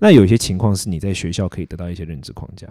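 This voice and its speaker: A man talks very fast in a very deep, low pitch with a dark, mellow tone and ordinary pitch variation. The recording is very clean, with a silent background. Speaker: philosophy YouTuber and podcast co-host. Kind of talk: casual chat.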